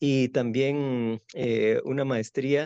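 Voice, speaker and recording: A man in a Guatemalan accent, dark and mellow in tone, with ordinary pitch variation and a dry, close sound with no echo. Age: 60s. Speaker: architect and university professor. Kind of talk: interview. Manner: halting, with many fillers.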